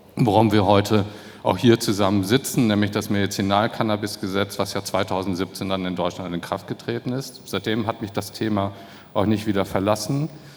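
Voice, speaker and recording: A man talks at a fairly quick pace with fairly low pitch. His intonation stays fairly even, and music plays in the background. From Germany. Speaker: former politician. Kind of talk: panel discussion.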